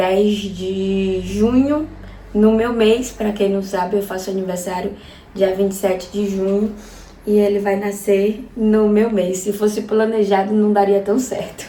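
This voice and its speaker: A woman of medium pitch speaks at a fairly slow pace in a monotone, flat intonation, with audible room echo and noticeable background noise. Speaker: vlogger. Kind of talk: personal vlog.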